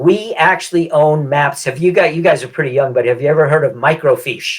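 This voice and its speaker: A man's fairly high, somewhat breathy voice at a fairly quick pace, with ordinary pitch variation. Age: 70s. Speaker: real estate agent and land investment salesperson. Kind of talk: podcast interview.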